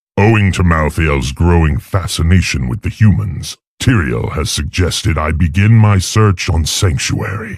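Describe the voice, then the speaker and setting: Putting on a character voice, a man speaks at a moderate pace and a very deep, low pitch with hardly any pauses. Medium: video game. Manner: cold, contemptuous.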